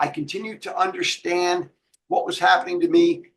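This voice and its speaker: A man speaks at a moderate pace. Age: 60s. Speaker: author in addiction recovery. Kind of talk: interview.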